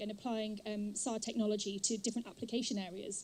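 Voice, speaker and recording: A woman speaks at a fairly quick pace. Her somewhat breathy voice has a dark, mellow tone. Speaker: professor, conference organizer. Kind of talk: welcome speech.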